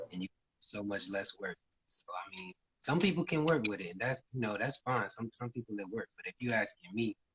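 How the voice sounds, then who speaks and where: A man's unremarkable speaking voice at medium pitch, fairly quick, with lively intonation and a dry, close sound with no echo. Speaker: musician. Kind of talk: casual interview.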